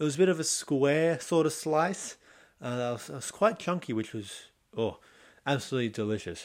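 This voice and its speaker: A man with an Australian accent talks at a moderate pace in a fairly high voice with lively intonation. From Australia, Sydney. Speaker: podcast host. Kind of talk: casual solo monologue.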